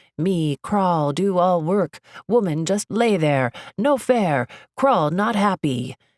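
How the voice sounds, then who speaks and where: Someone does a put-on character voice at a middle pitch and a fairly slow pace. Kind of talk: broken, primitive speech.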